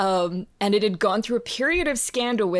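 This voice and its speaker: A woman with an Australian accent and ordinary pitch variation is heard on a very clean recording with a silent background. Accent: non-Philadelphia, Australian. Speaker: composer and professor. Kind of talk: interview.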